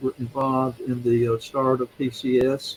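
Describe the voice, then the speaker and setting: The speech comes in a Mississippi accent. Its intonation is flat and monotone. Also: man. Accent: Southern US (Mississippi). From US South, Mississippi (Yazoo City). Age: 70s. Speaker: retired seminary teacher and ruling elder. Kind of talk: interview. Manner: halting, many fillers.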